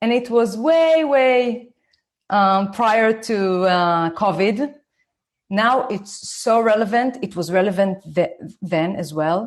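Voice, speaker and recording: Her pitch fairly high, a woman with an Israeli accent speaks at a very slow pace. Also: lively intonation. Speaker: parenting educator, former lawyer. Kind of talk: online talk.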